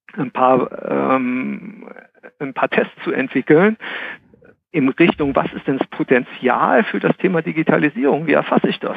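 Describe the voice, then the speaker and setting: Pitch swings very widely as the speech unfolds at a fairly slow pace. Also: man, fairly high pitch for a man. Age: 40s. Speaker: HR consultant. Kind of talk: casual chat.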